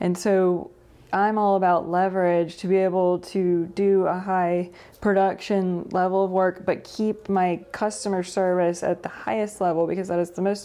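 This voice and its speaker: A woman's medium-pitched, dark and mellow voice with an American accent. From North Carolina, Greensboro. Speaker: real estate agent. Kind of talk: interview.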